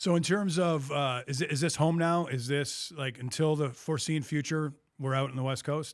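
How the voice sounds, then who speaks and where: Recorded very cleanly over a silent background, a man with a fairly high pitch speaks at a moderate pace with fairly even intonation in an ordinary speaking voice. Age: 50s. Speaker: podcast host. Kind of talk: interview.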